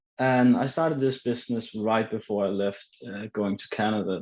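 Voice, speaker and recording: Against a quiet background, a man with a Danish accent speaks at a moderate pace with a fairly low pitch and monotone, flat intonation. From Denmark. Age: 20s. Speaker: online entrepreneur. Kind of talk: group video call introduction.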